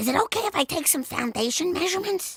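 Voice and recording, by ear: This is a cartoonish character voice, squeaky and extremely high in pitch. It rattles along at a very fast pace.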